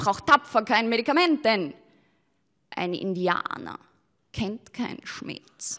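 Against a quiet background, a woman talks very slowly in a high pitch, with long, frequent pauses. Her pitch swings very widely and her loudness shifts a great deal. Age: young. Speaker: poetry slammer, cabaret artist. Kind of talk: poetry slam performance. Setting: live stage. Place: stage. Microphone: handheld.

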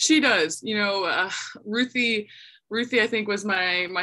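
Moderate pacing in a woman's voice, bright and sharp in tone. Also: quiet background. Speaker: volleyball head coach. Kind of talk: interview answer. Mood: warm, proud, some laughs. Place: office. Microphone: video call.

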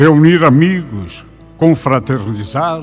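Backed by music, a man speaks at a very slow pace with very wide pitch swings. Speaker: voice actor / radio announcer. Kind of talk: message narration for a golden wedding anniversary.

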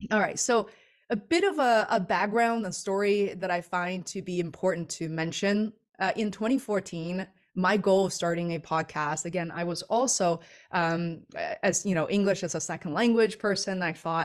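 A woman talks with ordinary pitch variation at a moderate pace, and the background is quiet. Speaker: webinar presenter. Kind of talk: webinar presentation.

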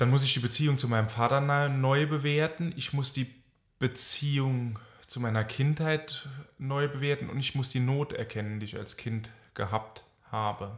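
A man's somewhat breathy, medium-pitched voice at a moderate pace, with fairly even intonation, on a very clean recording with a silent background. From France, German family. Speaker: psychotherapist. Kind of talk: casual chat.

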